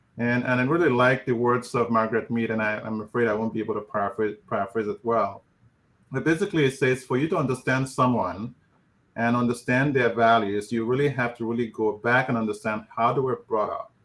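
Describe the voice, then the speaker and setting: A man with a Nigerian accent speaks at a fairly quick pace. His medium pitch shows ordinary variation. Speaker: physician and professor of family medicine. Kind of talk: panel discussion.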